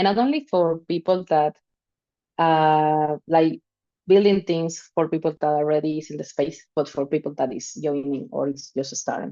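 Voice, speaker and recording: In a Spanish accent, a woman with a very deep, low pitch and a dark, mellow tone speaks at a moderate pace with ordinary pitch variation over a quiet background. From Venezuela. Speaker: DeFi protocol team member. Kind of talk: informal talk in a live stream. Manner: halting.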